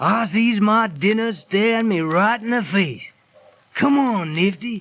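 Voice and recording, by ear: A man's high-pitched put-on character voice with a fairly bright tone, lively intonation and a fairly slow pace, with audible room echo.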